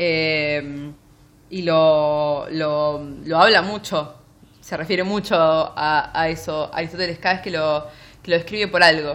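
A very deep, low-pitched woman's voice at a very slow pace, with fairly even intonation. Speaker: book podcast co-host. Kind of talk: casual chat.

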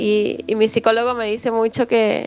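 A woman speaks fairly slowly with a fairly high pitch. Her intonation is monotone and flat. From small town far from the capital. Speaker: podcast co-host. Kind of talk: casual chat.

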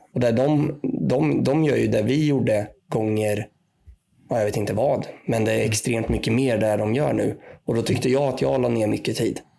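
This man has a dark, mellow tone and a medium pitch, with ordinary pitch variation. He keeps a moderate pace and very even loudness. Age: 20s. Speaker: podcast panelist, supporter. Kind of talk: casual chat.

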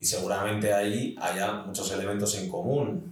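This man has an ordinary speaking voice with a fairly low pitch. He talks at a fairly slow pace. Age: 30s. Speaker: film and TV assistant director. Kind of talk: interview. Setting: in person recording.

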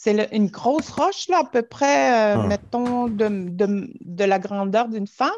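Lively intonation carries this speech along at a fairly slow pace. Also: woman, fairly high pitch for a woman. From Natashquan, Innu community, Quebec. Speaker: storyteller. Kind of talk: storytelling, elder oral tale. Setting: video call. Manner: slow, calm, halting with pauses and repetitions.

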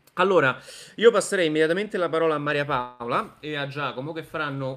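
Here is a man with a plain, everyday voice, pitched fairly high. He moves at a fairly quick pace with ordinary pitch variation. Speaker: live stream host, neurosurgeon. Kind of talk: live panel discussion. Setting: video call.

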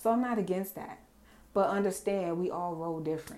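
A woman talks at a moderate pace, with ordinary pitch variation. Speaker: podcast host. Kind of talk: angry rant about fake influencers and wellness sellers, profane and scolding. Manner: loud, fired-up, sassy and indignant; casual, profane, direct, confrontational.

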